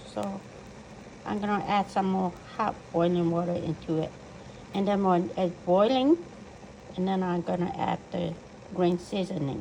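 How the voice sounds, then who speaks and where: A woman with a non-native accent at a medium pitch and moderate pace, with ordinary pitch variation, long, frequent pauses, and noticeable background noise. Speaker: home cook. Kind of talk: cooking tutorial.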